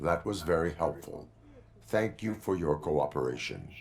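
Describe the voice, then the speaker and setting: Putting on a character voice, a man talks with a very deep, low pitch at a moderate pace. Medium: video game.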